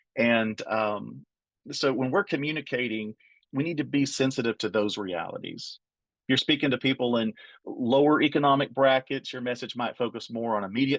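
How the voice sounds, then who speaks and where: A man with an Appalachian accent speaks at medium pitch and a moderate pace, with ordinary pitch variation. The sound is dry and close with no echo, against a quiet background. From Appalachia, US. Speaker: trainer. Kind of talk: training webinar.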